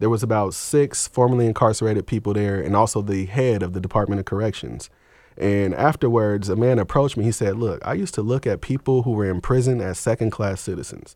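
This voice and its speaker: A man speaks very fast in a fairly low, dark, mellow voice. The recording is very clean and the background silent. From Seattle, Washington, US Pacific Northwest. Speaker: author and public speaker on prison re-entry. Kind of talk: radio interview.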